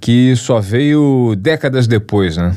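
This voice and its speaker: Man at a medium pitch with lively intonation, amid noticeable background noise. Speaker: podcast host. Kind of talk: news-style interview hosting.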